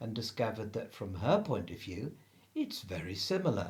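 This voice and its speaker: The voice is somewhat breathy, at a moderate pace. Its pitch swings very widely. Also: man. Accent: English. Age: 60s. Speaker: spiritual practitioner. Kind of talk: interview.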